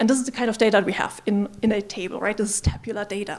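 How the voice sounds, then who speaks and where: Over noticeable background noise, a woman with a non-native accent speaks at a fairly high pitch. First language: not English. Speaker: machine learning engineer, conference speaker. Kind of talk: conference talk.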